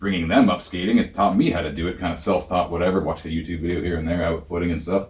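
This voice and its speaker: In a Canadian accent, a man speaks very fast with a very deep, low, somewhat breathy voice. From Ontario. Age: 30s. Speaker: professional wrestler. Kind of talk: interview. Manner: animated.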